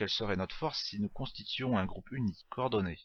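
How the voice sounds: The natural reading voice has lively intonation.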